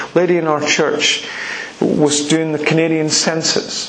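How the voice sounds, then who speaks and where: Against noticeable background noise, a man speaks at a fairly high pitch. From Scotland (Edinburgh), later Republic of Ireland. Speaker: preacher. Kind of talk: sermon. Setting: church.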